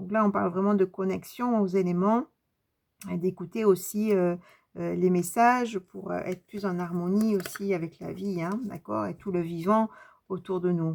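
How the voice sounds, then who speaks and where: A woman speaks at a fairly slow pace and medium pitch, with fairly even intonation. The recording is very clean, with a silent background. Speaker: tarot card reader and medium. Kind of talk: spiritual card reading. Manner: halting.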